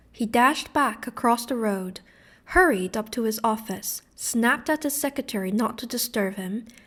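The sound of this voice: An unforced reading voice is heard.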